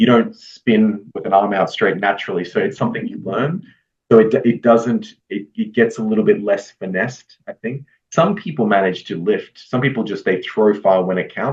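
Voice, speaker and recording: Speaking at a moderate pace, a man has an Australian accent. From Australia, Brisbane, Queensland. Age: 30s. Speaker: retired discus thrower. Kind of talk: podcast interview.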